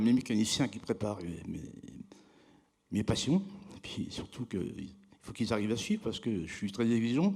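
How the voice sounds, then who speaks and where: This speaker moves at a moderate pace with lively intonation, big swings in loudness, and long, frequent pauses. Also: man. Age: 60s. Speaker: award-winning craftsman. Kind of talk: award ceremony interview. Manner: halting.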